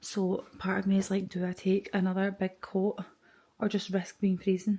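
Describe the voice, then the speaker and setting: In a Scottish accent, a woman talks at a medium pitch with a somewhat breathy voice. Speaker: podcaster and vlogger. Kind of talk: casual vlog monologue. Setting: at home early morning, then airport. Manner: whispering.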